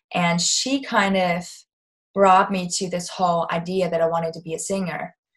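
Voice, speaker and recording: A woman speaks in a somewhat breathy voice with a German accent. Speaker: singer-songwriter. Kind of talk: interview.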